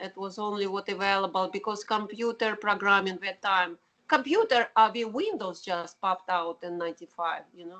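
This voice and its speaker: The voice has a strong Russian accent and a bright, sharp tone. It moves with hardly any pauses and big swings in loudness. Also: woman, medium pitch for a woman, ordinary pitch variation, moderate pace. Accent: heavy Russian. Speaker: keyboardist and artist. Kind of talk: interview.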